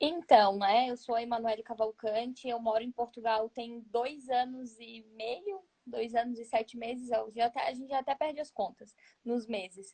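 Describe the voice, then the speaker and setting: A woman's fairly high voice in a dark, mellow tone, at a moderate pace with ordinary pitch variation and big swings in loudness, the sound dry and close with no echo. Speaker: photographer. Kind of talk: interview.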